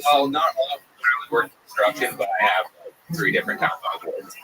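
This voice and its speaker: Over noticeable background noise, a man talks very fast with big swings in loudness. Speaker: comedian. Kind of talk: casual interview. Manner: halting.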